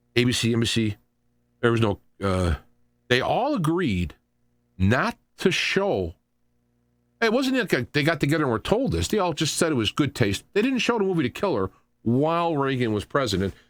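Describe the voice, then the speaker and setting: The voice has an animated tone, very wide pitch swings, and a moderate pace broken by long, frequent pauses. The recording is very clean with a silent background. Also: man, fairly high pitch for a man. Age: 60s. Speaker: radio talk show host. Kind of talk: political commentary. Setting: live radio show. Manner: animated, repetitive with false starts.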